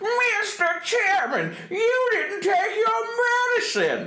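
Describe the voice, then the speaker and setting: In a put-on character voice, someone speaks at a very slow pace in an extremely high, squeaky pitch, with audible echo. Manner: cartoonish, pearl-clutching.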